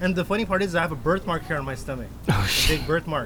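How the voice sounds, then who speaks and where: A man speaks at a very fast pace with ordinary pitch variation amid noticeable background noise. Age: 40s. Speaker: podcast guest. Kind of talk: casual chat.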